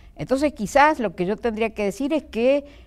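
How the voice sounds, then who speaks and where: A woman talks at a fairly slow pace with very wide pitch swings. The recording is very clean, with a silent background. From Argentina, Mendoza. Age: 70s. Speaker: retired supreme court judge. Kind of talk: interview.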